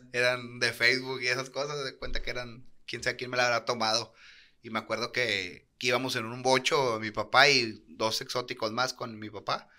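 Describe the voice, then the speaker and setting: Over a quiet background, a man with a northern Mexican accent speaks at a moderate pace and medium pitch. His tone is bright and sharp, his intonation monotone and flat, and his loudness swings widely. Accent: northern Mexican (norteño) Spanish. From Monterrey, Nuevo León, Mexico. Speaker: professional wrestler; podcast guest. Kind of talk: casual interview. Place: studio. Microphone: studio mic.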